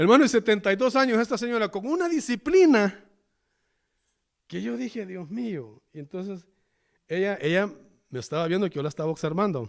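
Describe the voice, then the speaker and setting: With a Salvadoran accent, a man speaks at a high pitch with very wide pitch swings, big swings in loudness and long, frequent pauses. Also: fairly quick pace. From El Salvador. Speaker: pastor. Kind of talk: sermon. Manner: halting.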